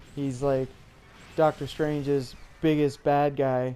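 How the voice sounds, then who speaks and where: The delivery is fairly slow. Behind it, music plays in the background. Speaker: gamer reviewing a film while playing. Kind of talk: casual talk to camera. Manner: hesitant, some stuttering and repetition.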